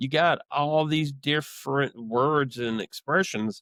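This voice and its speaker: A man with a Southern US accent at a very slow pace, in a dry, close sound with no echo. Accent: American Southern. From US South, South Georgia. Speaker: HVAC salesman. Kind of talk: interview. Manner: halting.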